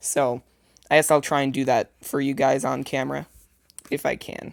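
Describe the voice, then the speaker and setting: Someone talks at a moderate pace on a very clean recording with a silent background. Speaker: tech youtuber. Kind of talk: unboxing video. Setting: bedroom. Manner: casual, hesitant with fillers; quiet.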